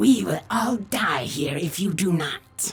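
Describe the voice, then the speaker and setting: Music plays in the background as a man does a put-on character voice, growling at a high pitch and a fairly slow pace. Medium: read story.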